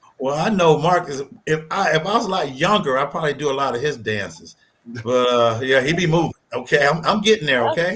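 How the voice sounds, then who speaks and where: An ordinary speaking voice from a man, fairly high-pitched, fairly quick in pace, with lively intonation. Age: 60s. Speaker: line dance instructor. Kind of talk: interview.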